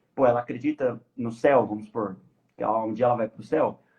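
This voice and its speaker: The speaker is male and keeps a fairly quick pace. His pitch rises and falls in an ordinary way. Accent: Brazilian. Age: 20s. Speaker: podcast guest on life purpose. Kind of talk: casual live podcast discussion. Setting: live stream.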